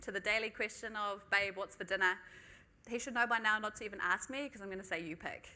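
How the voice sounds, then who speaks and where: In a fairly high pitch, a woman speaks with ordinary pitch variation and a bright, sharp tone. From New Zealand (Tokoroa, Waikato). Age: 20s. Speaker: manager giving a talk. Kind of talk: conference talk. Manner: casual, frequent um fillers.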